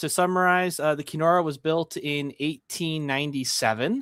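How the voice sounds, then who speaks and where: This man has a plain, everyday voice, pitched fairly high, with a Canadian accent. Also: very clean recording, silent background. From Canada. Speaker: museum ship enthusiast. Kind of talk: live stream panel discussion. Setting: live stream.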